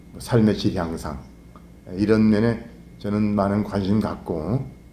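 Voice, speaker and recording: The voice has a dark, mellow tone and moves at a very slow pace. Audible room echo surrounds it. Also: man. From Korea, North Chungcheong. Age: 60s. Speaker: lawyer and political candidate. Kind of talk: interview. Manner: formal.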